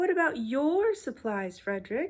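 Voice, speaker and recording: Someone puts on a high-pitched character voice with very wide pitch swings. The pace is moderate. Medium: read story. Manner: questioning.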